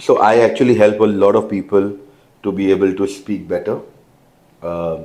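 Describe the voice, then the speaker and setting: Over audible room echo, a man with a fairly low pitch and a dark, mellow tone speaks at a moderate pace with fairly even intonation and long, frequent pauses. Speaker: event host. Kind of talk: interview.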